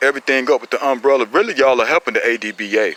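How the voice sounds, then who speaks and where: Animated and at a fairly quick pace, a man with an American accent and a medium pitch speaks in a dry, close sound with no echo, with noticeable background noise. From Eastern North Carolina, Robeson County. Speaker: pit bull breeder / dog enthusiast. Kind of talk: casual heated talk in online forum. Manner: animated, repetitive.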